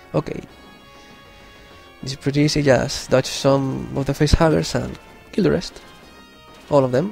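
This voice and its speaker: With music in the background, a man with a non-native accent speaks at a moderate pace and a fairly high pitch with ordinary variation, leaving long, frequent pauses. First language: not English. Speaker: gamer commentator. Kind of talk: let's play game commentary.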